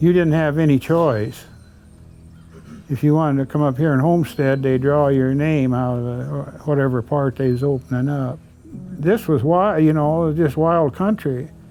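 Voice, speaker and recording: A man's fairly high voice carries ordinary pitch variation. He keeps a moderate pace while music sounds behind him. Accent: American. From South Dakota, US Midwest. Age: 80s+. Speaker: retired rancher. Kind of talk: interview storytelling. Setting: living room at home. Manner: plain, folksy.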